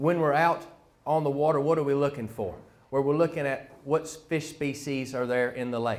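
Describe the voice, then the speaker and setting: A man at a moderate pace with a North Carolina accent, over noticeable background noise. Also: fairly high pitch for a man, fairly even intonation. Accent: rural North Carolina. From US South, North Carolina (Harnett County). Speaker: fisheries biologist. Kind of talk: public presentation. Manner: hesitant with frequent fillers.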